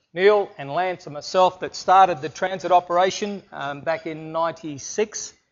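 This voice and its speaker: Slow and fairly even in intonation, a man with a high voice speaks in an Australian accent at a fairly slow pace. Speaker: businessman and speaker. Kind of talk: presentation. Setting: stage with audience.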